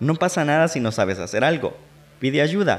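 There is vocal fry in this man's voice. He talks at a fairly quick pace with lively intonation. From El Salvador. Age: 20s. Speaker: podcast host and radio announcer. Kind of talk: personal monologue.

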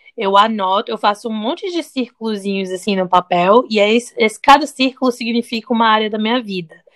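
Talking at a fairly quick pace with hardly any pauses, a woman has a normal speaking voice at a fairly high pitch with ordinary pitch variation, the sound dry and close with no echo. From Brazil, teen years in the US. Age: 30s. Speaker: podcast co-host. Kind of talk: casual chat.

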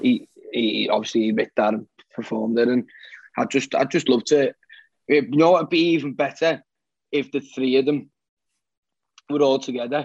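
Moderate pace in a Liverpool accent, ordinary pitch variation, long, frequent pauses, and a dry, close sound with no echo. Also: man, fairly high pitch for a man. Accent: Scouse. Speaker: singer-songwriter. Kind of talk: casual interview.

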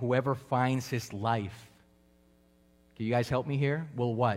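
Speaking with a Spanish accent, a man holds a medium pitch in a monotone, flat intonation. His loudness stays very even. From Colombia. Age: 30s. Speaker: preacher. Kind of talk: sermon. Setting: church with congregation.

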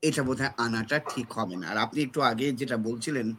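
A man talks with lively intonation. His tone is bright and sharp. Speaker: essayist and literary scholar. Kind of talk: panel discussion.

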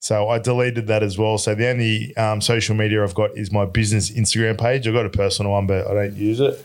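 Speaking very fast in an Australian accent with hardly any pauses, the voice stays monotone and flat at a very even loudness on a very clean recording with a silent background. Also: man, fairly low pitch for a man. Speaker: electrician business owner. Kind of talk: casual chat.

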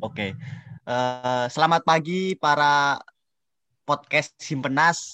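A man speaks very slowly, leaving long, frequent pauses. His voice is fairly high, with a bright, sharp tone and ordinary pitch variation. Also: dry, close sound with no echo. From Indonesia, Central Lampung (Javanese parents). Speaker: student. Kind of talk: casual interview.

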